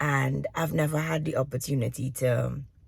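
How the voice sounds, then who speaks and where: Speaking very slowly, a woman uses vocal fry. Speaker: departing teacher and aspiring entrepreneur vlogger. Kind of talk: video journal monologue. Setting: video journal recording.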